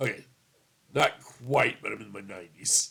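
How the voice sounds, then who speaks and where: A man's bright, sharp voice at a moderate pace. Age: 50s. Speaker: tabletop gaming youtuber. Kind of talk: casual video review. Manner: hesitant, many fillers.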